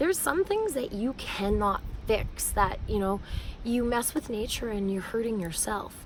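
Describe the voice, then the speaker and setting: Here a woman with a Canadian accent talks at a fairly slow pace with lively intonation. Noticeable background noise sits behind her. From Canada, Manitoba. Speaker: educator and singer-songwriter. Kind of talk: vlog monologue. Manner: hesitant, many fillers.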